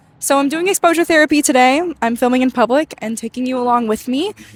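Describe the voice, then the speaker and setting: At a fairly quick pace, a woman talks in a high, shaky voice. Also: dry, close sound with no echo. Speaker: vlogger, pre-med student. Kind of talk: casual vlog monologue. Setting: outdoors walking downtown. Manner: shaky voice from nerves.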